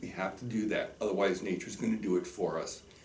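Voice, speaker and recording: A man talks at a fairly low pitch. Audible room echo surrounds his voice. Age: 60s. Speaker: teacher. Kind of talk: direct-to-camera message. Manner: earnest and emphatic.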